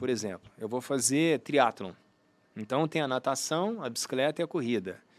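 An unremarkable speaking voice from a man, lively in intonation, at a moderate pace, with a dry, close sound and no echo. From Brazil, Uberlândia (Minas Gerais). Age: 50s. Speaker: sports medicine doctor and triathlete. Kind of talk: interview conversation. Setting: studio.

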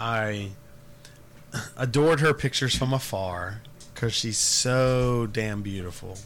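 There is noticeable background noise as a man with a medium pitch speaks. He talks at a fairly slow pace with long, frequent pauses. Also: ordinary pitch variation. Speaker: podcast host. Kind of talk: casual chat.

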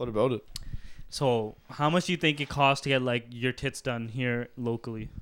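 In a very clean recording with a silent background, a normal speaking voice proceeds at a moderate pace. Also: man. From Surrey, British Columbia, Canada. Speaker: podcast host. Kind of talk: casual chat.

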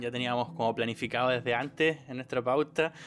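With music playing in the background, a man speaks at a medium pitch in a Chilean accent. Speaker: podcast co-host. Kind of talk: casual chat. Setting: recording at home.

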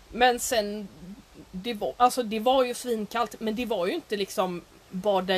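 This woman has a normal speaking voice, fairly high in pitch. She talks at a fairly slow pace with lively intonation. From Sweden. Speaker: podcast co-host. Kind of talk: casual chat.

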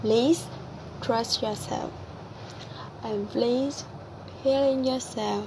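A woman's high-pitched voice at a very slow pace, over noticeable background noise. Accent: Vietnamese. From Vietnam. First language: Vietnamese. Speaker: podcaster and cafe worker. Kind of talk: personal monologue. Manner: halting, many fillers.

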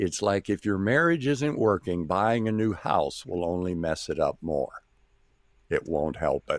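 A man with an American accent speaks fairly slowly at a fairly low pitch, his pitch swinging very widely. The sound is dry and close, with no echo. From US Midwest. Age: 70s. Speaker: missionary and preacher. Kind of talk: interview.

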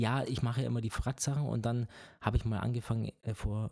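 Speaking very fast, a man with a dark, mellow, somewhat breathy tone shows ordinary pitch variation on a very clean recording against a silent background. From Bavaria. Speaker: triathlon podcast co-host. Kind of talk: casual chat.

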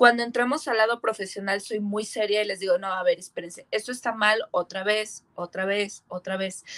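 Recorded dry and close with no echo, a woman with an unremarkable speaking voice talks at a moderate pace, her fairly high pitch moving in fairly even intonation. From rural Mexico. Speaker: metal band singer. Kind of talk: casual chat.

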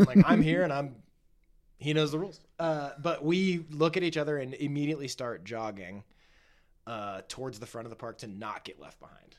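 Speaking at a moderate pace with lively intonation and big swings in loudness, a man with a fairly high pitch has an unremarkable speaking voice. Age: 20s. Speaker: podcast guest, skateboarder. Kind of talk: casual chat.

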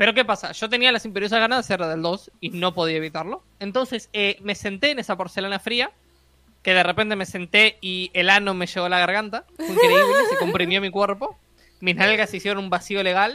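A woman with a Uruguayan accent talks at a fairly quick pace in a medium pitch, with ordinary pitch variation. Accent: Rioplatense Spanish (Uruguayan). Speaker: podcast co-host, design student. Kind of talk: casual chat. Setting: live stream.

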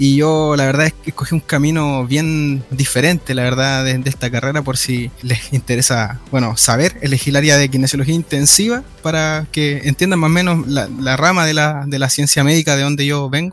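A man speaks at a moderate pace with a fairly high pitch and fairly even intonation. Noticeable background noise runs underneath. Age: 20s. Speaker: physiotherapy student. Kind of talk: podcast interview.

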